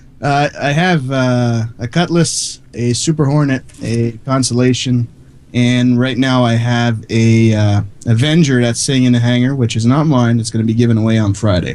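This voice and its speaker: With a slight French Canadian accent, a man speaks at a moderate pace and medium pitch, his intonation fairly even. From Quebec, Canada. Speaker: online radio DJ. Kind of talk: casual chat. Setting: live stream.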